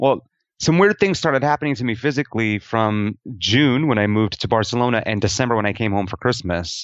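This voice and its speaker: This man talks at a fairly quick pace with a medium pitch and lively intonation, in an ordinary speaking voice. He has a General American accent. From Denver, Colorado, US. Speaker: expat teacher. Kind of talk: interview.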